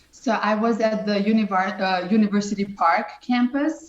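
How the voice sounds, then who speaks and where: A woman talks at a fairly slow pace with a medium pitch. Her pitch variation is ordinary, and noticeable background noise can be heard. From Albania. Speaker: immigration attorney. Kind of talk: interview. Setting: podcast.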